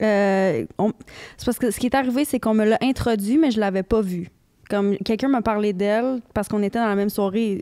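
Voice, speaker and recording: Dark, mellow tone at a fairly quick pace, with ordinary pitch variation and a quiet background. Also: woman. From Quebec. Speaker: podcast guest, recovered addict; podcast guest. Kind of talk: casual interview chat. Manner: halting. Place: studio. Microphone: handheld.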